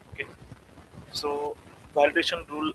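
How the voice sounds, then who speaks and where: With noticeable background noise, a man speaks at a moderate pace. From India, Pune. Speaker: software training student. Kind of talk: student presentation.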